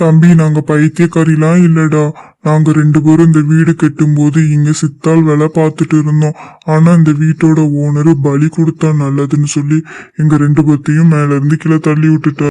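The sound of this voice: This cartoonish character voice moves at a fairly slow pace with monotone, flat intonation. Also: man, fairly high pitch for a man.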